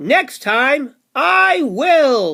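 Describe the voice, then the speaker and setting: Putting on a character voice, a man projects at an extremely high pitch with very wide pitch swings, in a very clean recording with a silent background. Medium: read story. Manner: slow, agreeable.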